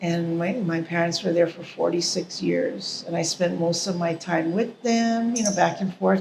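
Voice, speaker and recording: A woman with a Hawaiian accent and a fairly low pitch speaks at a fairly slow pace, with fairly even intonation and hardly any pauses. Noticeable background noise runs underneath. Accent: Hawaiian local English. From Hawaii, Honolulu / Oahu. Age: 60s. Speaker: interviewee, artist. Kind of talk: interview, life story.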